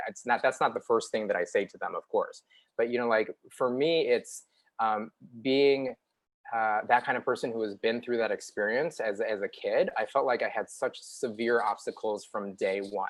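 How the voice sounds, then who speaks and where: A man with a Chicago accent speaks at a moderate pace. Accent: Chicago American English. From US Midwest, Chicago. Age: 40s. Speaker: TV news reporter. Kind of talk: interview. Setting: live online show.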